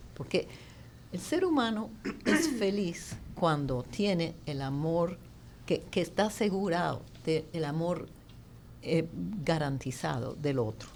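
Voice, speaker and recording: A woman's fairly low voice with vocal fry and lively intonation, very slow speech broken by long, frequent pauses. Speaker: pro-life advocate. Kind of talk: panel debate. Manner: halting.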